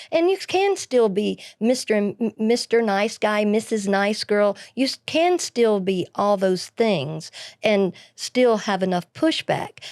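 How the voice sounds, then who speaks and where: In an Alabama accent, a woman with a fairly high pitch speaks at a very slow pace with lively intonation, in a dry, close sound with no echo on a very clean recording with a silent background. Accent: Southern US (Alabama). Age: 60s. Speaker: podcast co-host, pharmacist. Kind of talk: casual chat.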